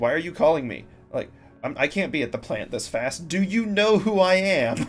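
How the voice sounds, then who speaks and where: A man's high, put-on character voice at a moderate pace, with music in the background. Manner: angry, arrogant, demanding.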